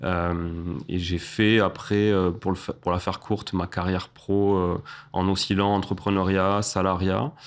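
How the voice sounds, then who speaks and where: A man speaks at a fairly slow pace in a very deep, low monotone with flat intonation. His loudness stays very even over a very clean recording with a silent background. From southern France, Toulouse. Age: 30s. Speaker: real estate investor and entrepreneur. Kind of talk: interview podcast conversation.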